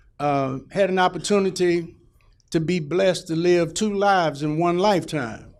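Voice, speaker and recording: Amid audible room echo, a man with an American accent speaks at a high pitch. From Houston, Texas (Fifth Ward). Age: 60s. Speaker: political candidate. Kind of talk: campaign speech. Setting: town hall meeting with audience. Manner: casual, halting.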